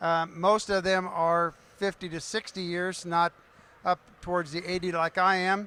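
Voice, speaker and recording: A man with an American accent projects a raised voice at a high pitch, his tone bright and sharp. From Kansas City area. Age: 70s. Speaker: pickleball coach. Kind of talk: panel discussion. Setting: stage with audience.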